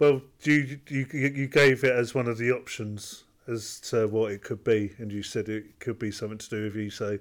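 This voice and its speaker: A man speaks in a plain, everyday voice at a medium pitch and moderate pace, with fairly even intonation but big swings in loudness. The recording is very clean, with a silent background. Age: 30s. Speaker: podcast co-host. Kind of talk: casual chat.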